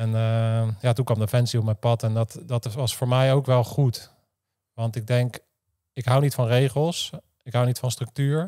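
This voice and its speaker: A man's dark, mellow voice at a fairly slow pace, with fairly even intonation over a quiet background. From Netherlands. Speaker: former special forces soldier and podcaster; podcaster. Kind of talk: interview conversation. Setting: studio. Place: office. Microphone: studio mic.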